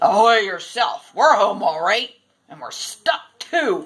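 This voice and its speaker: A woman speaks at a fairly slow pace in a put-on character voice, her fairly high pitch swinging very widely. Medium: read story.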